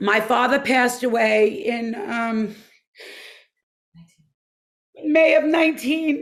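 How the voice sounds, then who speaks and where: In a put-on character voice, a woman speaks raspy and high-pitched at a very slow pace, with long, frequent pauses. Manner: emotional, grieving.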